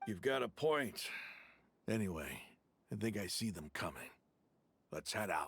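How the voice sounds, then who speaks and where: Using a put-on character voice, a man speaks raspy and fairly low at a moderate pace, leaving long, frequent pauses. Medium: video game. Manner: dry, scornful.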